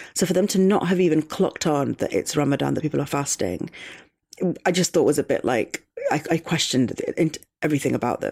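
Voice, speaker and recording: Using a very deep, low pitch and vocal fry, a woman talks at a fairly quick pace with ordinary pitch variation. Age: 20s. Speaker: playwright. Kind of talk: casual chat.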